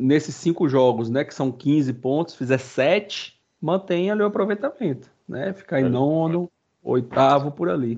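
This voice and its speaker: Using a normal speaking voice, a man talks at a fairly high pitch and a moderate pace with lively intonation. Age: 30s. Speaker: sports podcast host. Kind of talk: casual chat.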